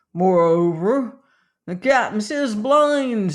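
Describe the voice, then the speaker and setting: In a put-on character voice, the speaker growls at a fairly high pitch and a very slow pace. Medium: read story.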